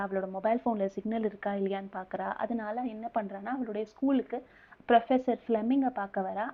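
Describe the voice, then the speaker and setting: A woman's normal speaking voice with fairly even intonation. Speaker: movie recap narrator. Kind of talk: movie plot recap narration. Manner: casual, conversational.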